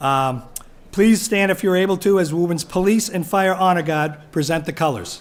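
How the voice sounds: Speaking at a moderate pace, a man with a high voice uses ordinary pitch variation.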